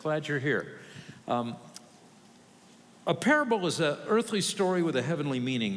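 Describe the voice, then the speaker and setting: A man talks with lively intonation. Audible echo fills the room. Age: 60s. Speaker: pastor. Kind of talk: sermon. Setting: church.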